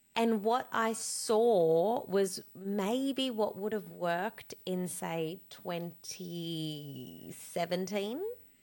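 The speech moves at a very slow pace in an Australian accent. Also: woman, medium pitch for a woman, ordinary pitch variation. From Australia, born in Cape Town. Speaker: business coach and social media entrepreneur. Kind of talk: interview. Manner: animated.

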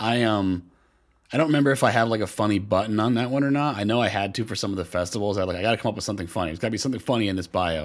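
In a very clean recording with a silent background, a man with fairly low pitch and ordinary pitch variation talks at a very fast pace. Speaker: comedian. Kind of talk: casual chat.

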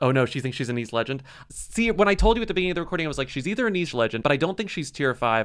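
A man with an American accent, fairly high-pitched, talking very fast with very wide pitch swings. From Texas (small town, San Antonio). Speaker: author and podcast co-host. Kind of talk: casual chat.

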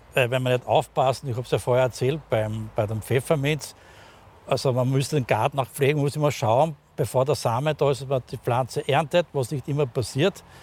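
Somewhat breathy, this man's medium-pitched voice keeps fairly even intonation at a moderate pace. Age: 60s. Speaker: pharmacist. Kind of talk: casual conversational interview. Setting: outdoors in a rooftop garden. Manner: halting, many fillers.

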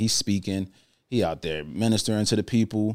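Here is a man with an American accent and an ordinary speaking voice. He talks at a fairly quick pace with fairly low pitch. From New Jersey. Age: 30s. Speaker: motivational speaker and author. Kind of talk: casual interview.

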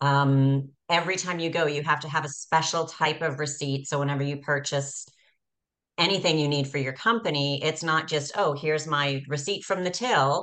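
With a Canadian accent, a woman speaks at a very deep, low pitch, a moderate pace and fairly even intonation. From Canada. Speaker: podcast host. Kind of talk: interview.

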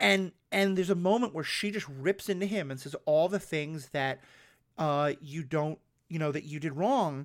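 In a very clean recording with a silent background, a man with an ordinary speaking voice talks at a moderate pace and a fairly high pitch. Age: 40s. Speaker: podcast host. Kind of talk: casual chat.

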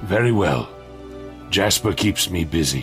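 Clear music plays in the background. A man speaks at a moderate pace with a very deep, low pitch. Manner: warm, gently stern.

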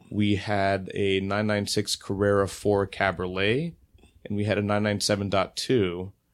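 In an ordinary speaking voice, a man with a fairly low pitch talks at a fairly slow pace. His intonation is fairly even. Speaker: automotive writer. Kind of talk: casual chat.

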